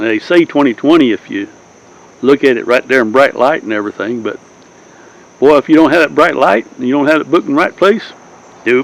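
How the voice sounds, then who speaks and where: A man with a Southern US accent speaks at a fairly high pitch, leaving long, frequent pauses. Noticeable background noise sits behind him. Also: ordinary pitch variation. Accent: southern, acquired. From Southern California. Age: 80s+. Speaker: YouTuber, Navy veteran storyteller. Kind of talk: casual monologue. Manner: rambling, hesitant with fillers.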